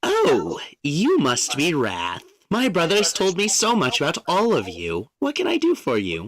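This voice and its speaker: A man performs a put-on character voice. His loudness stays very even. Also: moderate pace. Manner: polite, welcoming.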